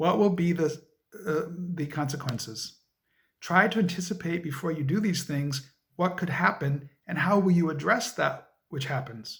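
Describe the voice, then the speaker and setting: At a moderate pace and fairly high pitch, a man talks in a normal speaking voice with ordinary pitch variation. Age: 50s. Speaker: interviewee, history educator. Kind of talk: interview.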